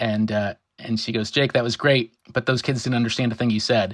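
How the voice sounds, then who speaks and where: Medium in pitch, a man talks at a fairly quick pace. The sound is dry and close, with no echo. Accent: American. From US. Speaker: marine biologist. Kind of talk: interview. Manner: fast when excited; animated.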